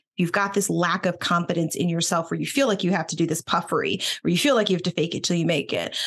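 A woman with an American accent has an unremarkable speaking voice. Her pitch is fairly low and varies in an ordinary way. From Boston, US Northeast; Philadelphia. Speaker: attorney and executive coach. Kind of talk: casual interview chat.

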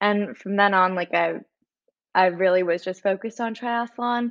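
A woman with an unremarkable speaking voice talks at a moderate pace, her medium pitch carried in fairly even intonation. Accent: Canadian. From Canada. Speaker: college triathlete. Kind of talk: interview.

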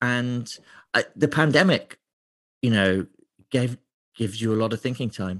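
The man's medium-pitched voice, in an East Midlands accent, moves at a moderate pace with ordinary pitch variation and long, frequent pauses, and the sound is dry and close with no echo. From England, Lincolnshire. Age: 30s. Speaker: beer writer. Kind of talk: interview.

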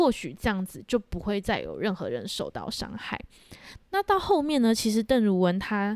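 Over a very clean recording with a silent background, a plain, everyday voice moves at a moderate pace with lively intonation. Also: woman. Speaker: podcast co-host. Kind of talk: storytelling true crime chat.

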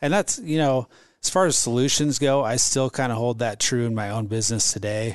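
Talking at a fairly quick pace, a man with a Midwestern American accent has a medium pitch. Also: ordinary pitch variation. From Omaha, Nebraska, US Midwest. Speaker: entrepreneur and franchise owner. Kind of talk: casual interview.

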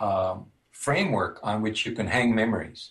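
A somewhat breathy man with an American accent. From US Midwest, northern Minnesota. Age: 60s. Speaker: music theory professor. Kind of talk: interview.

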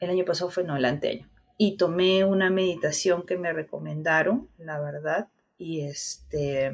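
Speaking at a fairly slow pace, a woman with a fairly low voice shows ordinary pitch variation. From Peru, Guarmey (Ancash). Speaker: cancer survivor. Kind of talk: interview, personal testimony.

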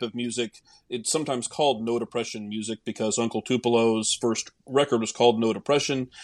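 A man with an American accent talks in a normal speaking voice at a medium pitch, with fairly even intonation and a fairly quick pace, and the sound is dry and close with no echo. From Oklahoma (Tulsa). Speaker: journalist and TV news producer. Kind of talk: casual chat.

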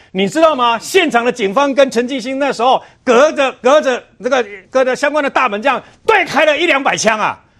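A bright, sharp tone at a fairly quick pace, in a Taiwanese accent. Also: man. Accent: Taiwanese Mandarin. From Taiwan, Chiayi. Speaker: senior media commentator. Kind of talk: TV political talk show commentary.

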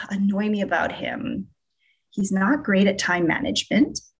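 A woman at a medium pitch, somewhat breathy, at a fairly slow pace. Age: 30s. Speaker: social media influencer. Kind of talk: interview.

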